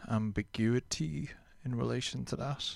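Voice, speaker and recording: A man with an Irish accent talks at a fairly slow pace and a medium pitch. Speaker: radio host. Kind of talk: low-key radio dj patter. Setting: radio show. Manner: relaxed, reflective; earnest, slightly rambling.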